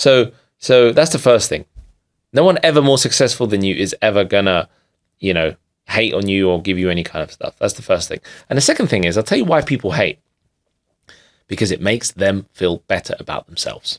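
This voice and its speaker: A man with a London accent speaks at a fairly quick pace in a medium pitch, his intonation lively and broken by long, frequent pauses. The recording is very clean with a silent background, and the sound is dry and close with no echo. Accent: sounds like a Londoner. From London, England (immigrated as a child). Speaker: digital marketer and business coach. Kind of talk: podcast interview. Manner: emphatic, animated.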